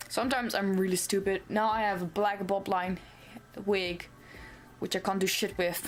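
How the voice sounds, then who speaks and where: A woman with a non-native accent, medium pitch, monotone, flat intonation, very even loudness and long, frequent pauses. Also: moderate pace. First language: not English. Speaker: cosplay vlogger. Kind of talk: casual vlog. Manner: rambling with fillers and self-corrections.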